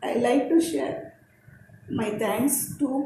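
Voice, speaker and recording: This woman's pitch swings very widely while audible room echo hangs around her voice. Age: 60s. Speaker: personal development speaker. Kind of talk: personal testimony presentation.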